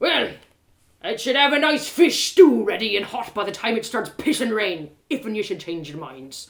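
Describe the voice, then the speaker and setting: Doing a put-on character voice, a woman sounds gruff at a fairly high pitch, speaking at a moderate pace with big swings in loudness and very wide pitch swings. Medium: read story. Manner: gruff, curt.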